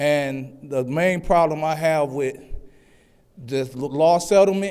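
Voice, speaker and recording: There is audible room echo as a man talks at a fairly slow pace. His pitch is fairly high, with ordinary pitch variation. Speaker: public commenter at city council meeting. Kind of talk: public comment speech. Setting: council chambers with microphone. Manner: loud.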